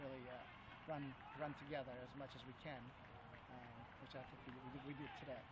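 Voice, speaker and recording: A man's voice sounds dry with no echo against loud background noise. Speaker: high school running coach. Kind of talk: interview answer. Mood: pleased, relaxed. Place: open country. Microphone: phone near.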